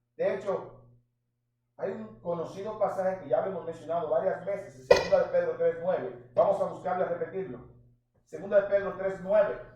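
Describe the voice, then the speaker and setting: Audible room echo surrounds the speech. A man delivers it at a fairly quick pace. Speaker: pastor. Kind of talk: sermon. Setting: church. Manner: animated.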